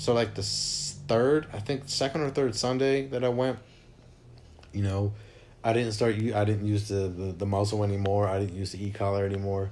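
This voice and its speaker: A man's fairly low-pitched voice at a moderate pace, with ordinary pitch variation and audible room echo. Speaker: dog owner vlogger. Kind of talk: casual vlog talk. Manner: halting, many restarts.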